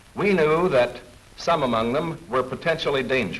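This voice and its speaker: Background noise is noticeable here. A man talks with lively intonation. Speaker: film narrator. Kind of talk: wartime government newsreel narration.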